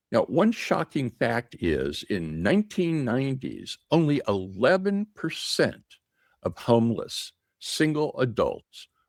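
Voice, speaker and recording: A man speaks at a very slow pace. The sound is dry and close with no echo, and the recording is very clean with a silent background. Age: 60s. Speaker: retirement YouTuber. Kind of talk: vlog commentary. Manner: animated.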